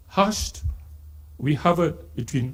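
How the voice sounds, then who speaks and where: A man with a Malaysian accent talks at a very slow pace in a dark, mellow tone, with vocal fry and very wide pitch swings. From Singapore. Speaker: poet. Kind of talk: literary festival talk with poetry reading.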